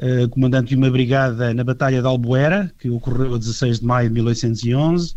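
A man of medium pitch talks at a moderate pace in a normal speaking voice. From Portugal. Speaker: heritage association vice-president. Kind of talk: radio interview.

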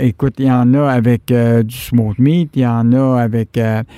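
The voice has a Quebec accent and a dark, mellow tone. It moves at a very slow pace. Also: man. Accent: Québécois French. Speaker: radio host. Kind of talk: radio interview. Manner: hesitant, many fillers and repetitions.

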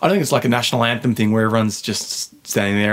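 With an Australian accent, a man speaks against noticeable background noise. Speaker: sports journalist. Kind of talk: casual chat. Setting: studio.

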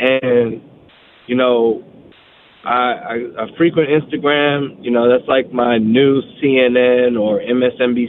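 Fairly even intonation marks this man's medium-pitched voice, a plain, everyday voice with an American accent. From Washington DC. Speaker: Army veteran caller. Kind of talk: casual chat. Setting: phone call.

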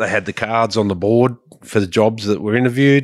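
With an Australian accent and fairly even intonation, a man speaks on a very clean recording that has a silent background and a dry, close sound with no echo. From Sydney, Australia. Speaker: farmer. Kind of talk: casual interview.

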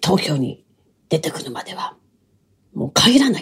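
A woman speaks with a very deep, low pitch and vocal fry. Her tone is dark and mellow. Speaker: storyteller (kodan performer) and narrator. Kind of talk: casual solo talk. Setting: home bedroom. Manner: lively.

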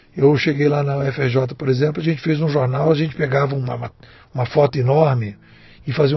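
Somewhat breathy, a man talks at a fairly quick pace with a fairly high pitch and fairly even intonation. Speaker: digital strategy consultant and writer. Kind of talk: casual chat.

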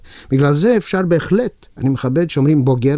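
A dark, mellow tone at a fairly quick pace. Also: man. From Romania. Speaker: actor. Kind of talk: interview.

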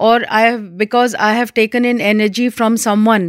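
A woman with a fairly high pitch and a normal speaking voice talks at a moderate pace, the sound dry and close with no echo and the recording very clean over a silent background. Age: 60s. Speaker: hypnotherapist. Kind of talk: interview.

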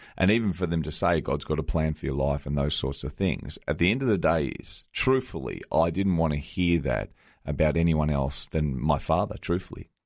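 A man with an Australian accent, very deep, low pitch, vocal fry and lively intonation, at a moderate pace with hardly any pauses, in a very clean recording over a silent background. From Melbourne, Australia. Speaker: author and pastor. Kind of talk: radio interview testimony. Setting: radio studio.

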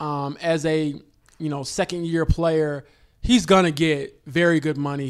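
The speaker has a plain, everyday voice with fairly even intonation. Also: man. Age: 20s. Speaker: sports journalist. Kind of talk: casual chat.

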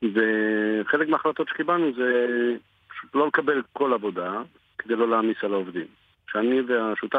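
Speaking with an unremarkable speaking voice, a man moves at a moderate pace and varies his pitch in an ordinary way. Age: 40s. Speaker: print shop owner and army reservist. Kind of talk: radio interview.

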